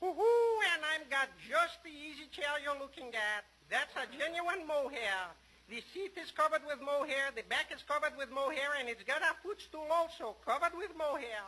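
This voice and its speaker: This is a put-on character voice, high in pitch. It moves at a moderate pace in a sing-song way. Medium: old radio play. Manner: sing-song, gleeful, hooting.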